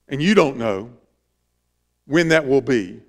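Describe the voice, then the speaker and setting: Over a quiet background, a man talks at a very slow pace with lively intonation. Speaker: pastor. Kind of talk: sermon. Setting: church. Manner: earnest, preacherly, exhorting the congregation; informal, interacts with the audience. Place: church.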